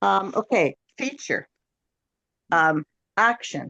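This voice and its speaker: A woman speaks with vocal fry. The sound is dry and close, with no echo. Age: 80s+. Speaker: class participant, retired teacher.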